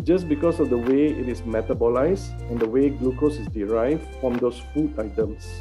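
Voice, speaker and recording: Faint music sits in the background. Over it, a man speaks at a moderate pace. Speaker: guest. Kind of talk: interview answer. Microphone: video call.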